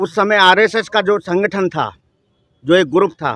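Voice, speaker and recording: A man talks at a high pitch with ordinary pitch variation. The sound is dry and close, with no echo. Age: 60s. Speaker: member of the public interviewed on the street. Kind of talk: street interview, political opinion. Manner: animated.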